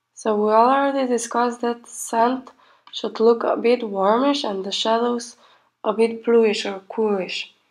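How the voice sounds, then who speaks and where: A quiet woman's voice, fairly high in pitch, at a fairly slow pace. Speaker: pastel painting artist. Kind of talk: tutorial voiceover. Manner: quiet, sleepy-sounding.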